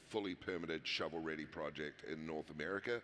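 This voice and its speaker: A man with a New Zealand accent talks at a fairly quick clip, his pitch varying in an ordinary way. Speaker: mining company executive. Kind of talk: panel discussion.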